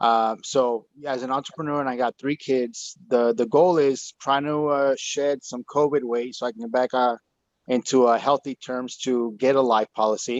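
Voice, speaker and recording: This man has a plain, everyday voice at a medium pitch, with fairly even intonation and a dry, close sound with no echo. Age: 40s. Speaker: entrepreneur, audience member. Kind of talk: question in live Q&A. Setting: Zoom call.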